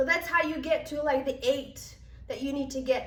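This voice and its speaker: A woman with a high voice speaks at a moderate pace amid audible room echo. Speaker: pilates instructor. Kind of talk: instructor training tutorial.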